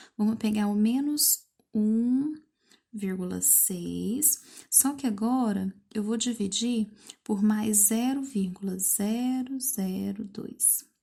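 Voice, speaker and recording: In a very clean recording with a silent background, a woman with a fairly high pitch and a dark, mellow tone speaks very slowly, somewhat breathy, with ordinary pitch variation. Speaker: math teacher. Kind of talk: lesson for pupils.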